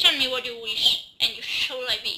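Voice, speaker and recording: A woman uses a put-on character voice at a moderate pace. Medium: read story.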